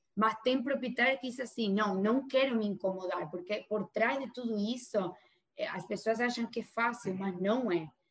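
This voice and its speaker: Pitched fairly high, this woman talks at a moderate pace, her pitch varying in an ordinary way. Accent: Spanish. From Argentina. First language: Spanish (speaking Portuguese). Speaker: real estate agent. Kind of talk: interview.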